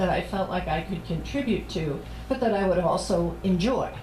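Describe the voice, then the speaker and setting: A woman at a medium pitch talks at a moderate pace, with audible room echo and noticeable background noise. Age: 60s. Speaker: priest and social worker. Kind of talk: sermon.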